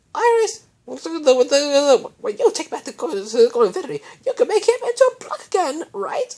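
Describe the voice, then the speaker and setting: A put-on character voice, squeaky and extremely high, with very wide pitch swings, big jumps in loudness and a fairly quick pace. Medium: read story.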